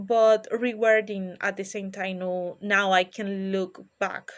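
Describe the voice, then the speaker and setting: Over a quiet background, a woman talks at a very slow pace. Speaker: pre-service teacher. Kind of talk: reflective monologue. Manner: hesitant.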